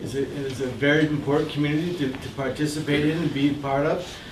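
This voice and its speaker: Noticeable background noise and audible room echo accompany this recording. A man with a Canadian accent talks at a fairly quick pace in a fairly high pitch. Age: 60s. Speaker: community advocate and economic consultant. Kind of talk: Q&A talk to an audience. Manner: hesitant, with fillers and repetitions.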